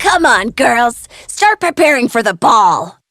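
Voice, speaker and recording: A woman's cartoonish character voice, fairly slow in pace, with very wide pitch swings and a dry, close sound with no echo. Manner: harsh, bossy.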